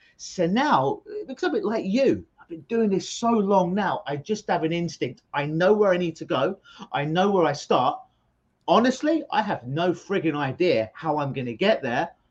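Using an animated tone and a London accent, a man with a high pitch talks at a moderate pace with very wide pitch swings and big swings in loudness. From London, England. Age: 40s. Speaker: hypnotherapist. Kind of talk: interview. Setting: video call.

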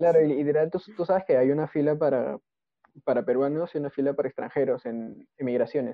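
This man's voice sits fairly high, with ordinary pitch variation and a fairly quick pace. It is an ordinary speaking voice. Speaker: podcast co-host. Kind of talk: casual chat.

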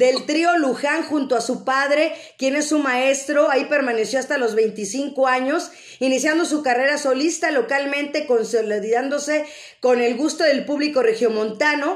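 A woman's high voice at a fairly slow pace, with ordinary pitch variation, very even loudness and audible room echo. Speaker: radio host. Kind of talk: live-streamed radio interview. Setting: online video stream.

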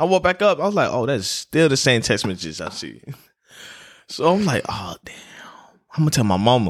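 Over a very clean recording with a silent background, the speaker moves at a fairly quick pace with long, frequent pauses, very wide pitch swings, big swings in loudness and vocal fry. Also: man, medium pitch for a man. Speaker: guest, friend of host. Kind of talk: casual chat.

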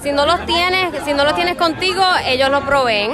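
A woman with a high pitch speaks in a raised, projected voice. Crowd noise and audible room echo are present in the background. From Puerto Rico. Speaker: friend at birthday party. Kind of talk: casual chat. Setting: restaurant.

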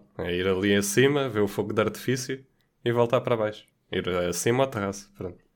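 In a very clean recording with a silent background, a man with a fairly low pitch and a plain, everyday voice speaks at a moderate pace. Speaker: podcast co-host. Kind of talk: casual chat.

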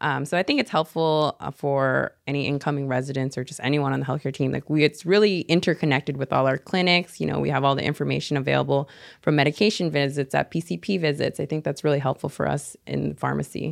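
A woman with an American accent speaks at a very fast pace with hardly any pauses, her very deep, low pitch carrying vocal fry and ordinary pitch variation. The recording is very clean with a silent background, and the sound is dry and close with no echo. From Seattle, US Pacific Northwest. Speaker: pharmacy resident. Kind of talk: casual interview.

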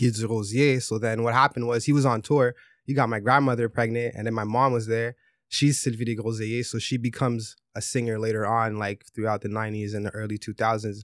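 Speaking at a fairly quick clip, a man with a medium-pitched voice delivers his words in a flat monotone. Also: very clean recording, silent background. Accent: Montreal. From Montreal, Quebec. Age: 30s. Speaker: musician. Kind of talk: casual chat.

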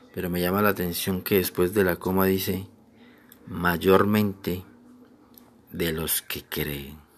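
Speaking very slowly with long, frequent pauses, a man uses a very deep, low pitch, a gentle tone and monotone, flat intonation. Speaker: preacher. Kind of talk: devotional sermon, warm pastoral address to listeners. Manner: gentle, earnest, unhurried, with repeated phrases and pleading exhortation; formal, reverent, with frequent fillers and restarts.

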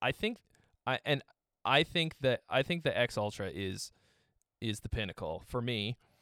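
An ordinary speaking voice from a man, lively in intonation and moderate in pace. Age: 30s. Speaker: guitarist and music gear youtuber. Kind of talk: casual chat. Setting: video call.

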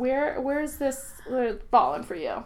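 A woman with a Boston accent speaks very slowly in a high pitch that swings very widely. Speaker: podcast host. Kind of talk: casual chat.

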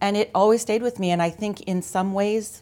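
This very clean recording, with a silent background, features a speaker with a Canadian accent. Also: woman. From Ontario, Canada (London). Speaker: insurance sales manager. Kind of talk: interview. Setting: studio.

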